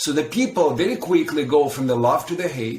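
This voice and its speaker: A man with a non-native accent, a fairly high pitch and lively intonation. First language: not English. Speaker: dog trainer. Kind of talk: podcast conversation.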